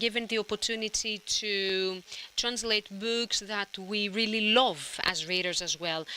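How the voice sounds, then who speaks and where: A woman with a Greek accent speaks fairly slowly in a medium-pitched voice with a bright, sharp tone. The recording is very clean, with a silent background. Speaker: literary translator. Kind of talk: panel discussion.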